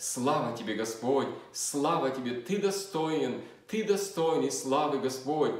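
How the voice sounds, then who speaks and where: A man speaks very slowly in a fairly high pitch. His intonation is lively, and the room echo is audible. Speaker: preacher. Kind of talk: fervent prayer, addressing God with earnest pleading; sermon on scripture. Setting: church. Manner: earnest, devout, intercessory tone. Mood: fervent prayer, eyes closed. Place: home room. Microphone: phone near.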